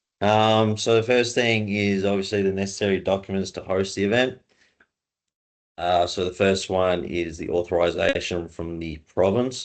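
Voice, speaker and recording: Spoken with an Australian accent, the voice moves at a moderate pace. Its intonation is fairly even. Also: man, fairly low pitch for a man. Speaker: race organization assistant. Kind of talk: webinar presentation. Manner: casual.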